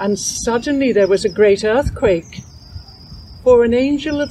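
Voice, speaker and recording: Through noticeable background noise, a woman speaks at a fairly high pitch. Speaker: scripture reader. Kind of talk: reading aloud.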